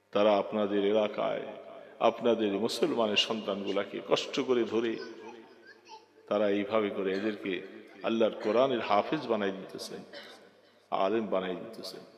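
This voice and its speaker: A man speaks in a flat, monotone voice at a fairly low pitch. Background noise is noticeable. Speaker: Islamic preacher. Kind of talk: religious sermon.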